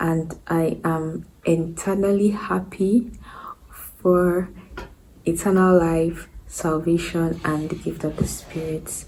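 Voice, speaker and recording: A woman speaks in a fairly low voice with fairly even intonation. Audible room echo surrounds her. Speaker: vlogger. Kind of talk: casual vlog monologue. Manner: hesitant; whispering.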